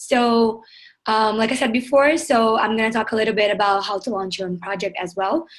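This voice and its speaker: The speaker is a woman with a Portuguese accent. Her fairly high pitch shows ordinary variation. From southern Brazil, Porto Alegre. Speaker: climate activist, project founder. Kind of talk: webinar presentation. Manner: fast.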